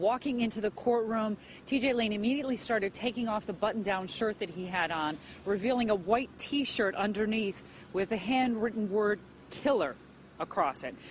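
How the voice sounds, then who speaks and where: A woman's fairly high, somewhat breathy voice at a moderate pace with ordinary pitch variation. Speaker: news reporter. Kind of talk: TV news report.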